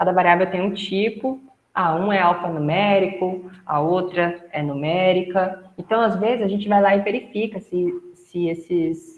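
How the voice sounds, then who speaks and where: Speaking at a fairly slow pace with hardly any pauses, a woman uses a normal speaking voice of medium pitch and fairly even intonation. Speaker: instructor. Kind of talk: lecture.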